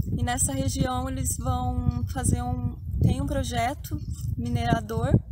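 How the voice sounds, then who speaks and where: A woman is soft-spoken. Noticeable background noise can be heard. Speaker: channel host, spiritual healer. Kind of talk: outdoor vlog narration.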